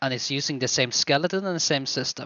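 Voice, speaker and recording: A man with a non-native accent speaks in a fairly high voice. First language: not English. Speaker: game modder. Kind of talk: software showcase tutorial. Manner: halting, many fillers.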